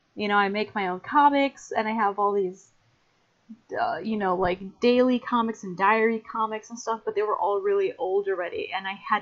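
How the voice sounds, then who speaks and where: An animated tone with an American accent, moderate pace and ordinary pitch variation. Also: woman. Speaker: artist and podcast co-host. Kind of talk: casual chat.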